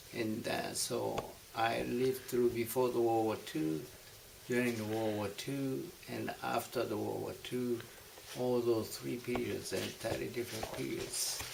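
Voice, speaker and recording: Speaking at a fairly slow pace in a Japanese accent, a man is heard with audible room echo and noticeable background noise. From Japan, Tokyo. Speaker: war survivor. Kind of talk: oral history interview. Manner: halting.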